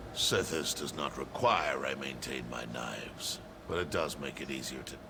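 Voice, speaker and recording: A man performs a put-on character voice at a moderate pace. Loud background noise runs underneath. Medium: video game.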